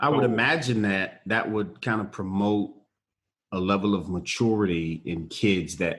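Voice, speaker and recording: A plain, everyday voice from a man, pitched fairly low, moderate in pace, with ordinary pitch variation. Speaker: podcast host. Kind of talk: podcast interview host talk.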